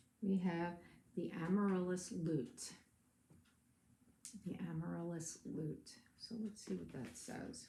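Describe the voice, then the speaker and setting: Speaking at a very slow pace with long, frequent pauses, a woman uses a somewhat breathy, dark, mellow voice of fairly low pitch. Her intonation is lively, and the room echo is audible. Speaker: tarot reader. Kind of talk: tarot reading.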